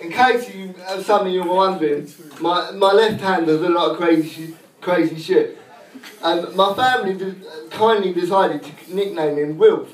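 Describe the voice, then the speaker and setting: With audible room echo and light background noise, a man speaks in a high pitch. His loudness moves in big swings. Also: moderate pace. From England, East Anglia (Suffolk). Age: 20s. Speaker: stand-up comedian. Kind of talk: crude self-deprecating stand-up set at an open mic. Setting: pub stage with live audience. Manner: deadpan punchline delivery with laugh pauses; slightly halting, repeats words. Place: bar. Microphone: camera far.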